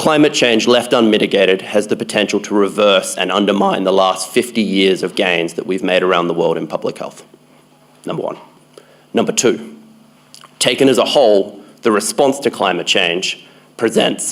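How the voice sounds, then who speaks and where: A man with a strong Australian accent, fairly low pitch, ordinary pitch variation and a moderate pace. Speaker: conference speaker, public health researcher. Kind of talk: conference talk. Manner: hesitant fillers.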